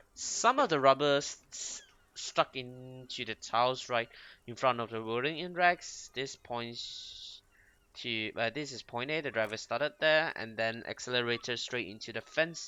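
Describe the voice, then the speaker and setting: Speaking at a fairly slow pace with a Mandarin accent, a man uses a medium pitch with big swings in loudness. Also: ordinary pitch variation. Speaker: gaming youtuber. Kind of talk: let's play commentary, reading game text aloud. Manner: halting, frequent self-corrections.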